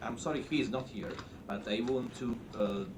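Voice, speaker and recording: Noticeable background noise and audible room echo fill the recording. Through it, a man speaks at a medium pitch and moderate pace. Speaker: rating agency executive. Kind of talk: conference presentation. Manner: halting.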